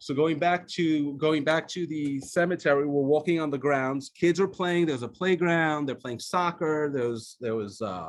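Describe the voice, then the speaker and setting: A man at a moderate pace and fairly high pitch, with an Israeli accent, ordinary pitch variation and a quiet background. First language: Hebrew. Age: 50s. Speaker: author. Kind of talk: talk. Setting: video call. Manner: halting.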